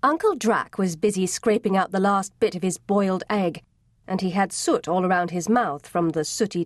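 What you hear is plain reading aloud.

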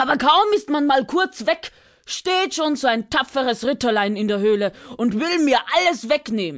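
Against a quiet background, a woman with a high pitch talks at a fairly slow pace, her pitch swinging very widely. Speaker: audiobook narrator. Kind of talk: audiobook storytelling, fairy tale for children. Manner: animated, playful, changes voice for each character, grumpy dragon vs. curious bird; warm, direct address to child listeners, with laughter and pauses.

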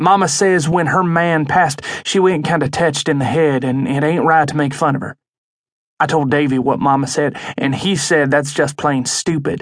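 A man's fairly high voice at a moderate pace, dramatic in tone. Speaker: audiobook narrator. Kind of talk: dramatic audiobook narration, first-person as a country child. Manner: folksy, storytelling, with dramatic pauses.

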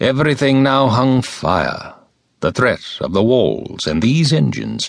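A man talks at a very slow pace with vocal fry. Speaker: audiobook narrator. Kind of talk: dramatic narration of classical epic verse, voicing gods' speeches. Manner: grave, theatrical declamation with rhetorical exclamations.

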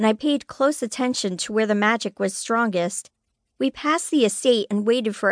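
Over a quiet background, the passage is read aloud in a natural voice with ordinary pitch variation.

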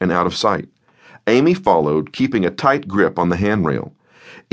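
Quiet background behind plain reading aloud.

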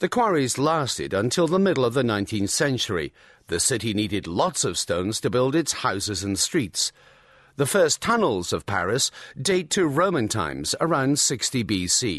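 Vocal fry marks a man's medium-pitched voice at a moderate pace, with very wide pitch swings. His loudness stays very even against a quiet background. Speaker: audiobook narrator. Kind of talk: scripted audio-guide narration, clear and informative tour-guide style. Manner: measured, clear and even-paced.

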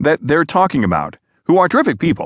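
A man rattles along at a very fast pace, his voice showing vocal fry. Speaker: news reader. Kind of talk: formal news reading of a printed article, with short quoted soundbites. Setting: studio audiobook-style recording. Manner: formal, measured, even-paced; neutral, impartial delivery with little emotion.

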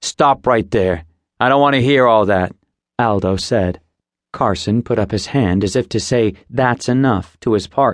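Behind a natural reading voice, the background is quiet.

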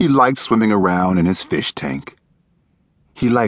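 With lively intonation and an animated tone, a man speaks in a dry, close recording with no echo. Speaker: audiobook narrator. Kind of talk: dramatic children's story narration, reading aloud. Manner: animated, expressive character voices; storybook pacing with gruff menace and a glum sigh.

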